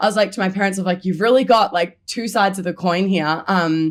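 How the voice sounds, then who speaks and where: Her Australian accent comes through as the woman talks at a fairly quick pace in a medium pitch with ordinary pitch variation, the recording very clean with a silent background. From Melbourne, Australia. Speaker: comedian. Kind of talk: casual chat. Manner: loud; animated.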